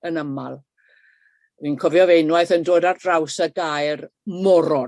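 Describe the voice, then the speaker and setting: A woman with a South Welsh accent is heard in a dry, close sound with no echo. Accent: Welsh, south Wales dialect. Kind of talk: webinar talk. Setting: video call. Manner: hesitant with fillers.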